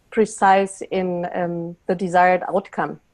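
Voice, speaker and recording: A woman with a German accent at a very slow pace, against a quiet background. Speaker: facilitator, panelist. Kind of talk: webinar panel discussion. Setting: online webinar. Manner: hesitant, repeating words.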